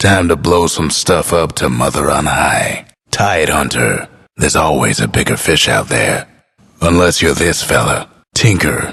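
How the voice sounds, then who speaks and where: In a put-on character voice, a man sounds raspy with a very deep, low pitch and very even loudness. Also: moderate pace, ordinary pitch variation. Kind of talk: video game announcer lines. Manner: drawling, laid-back.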